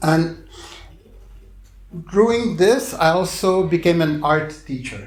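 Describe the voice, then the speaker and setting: Music plays in the background as a man speaks at a very slow pace with audible room echo. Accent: Quebec. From Quebec, Montreal. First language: French. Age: 60s. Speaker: clown and visual artist. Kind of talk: public talk. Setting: bookstore stage with audience.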